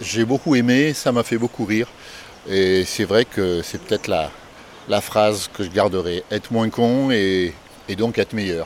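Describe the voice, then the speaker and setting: Over noticeable background noise, a man speaks at a fairly slow pace in a fairly low pitch, with ordinary pitch variation. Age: 60s. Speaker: listener. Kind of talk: recorded listener message.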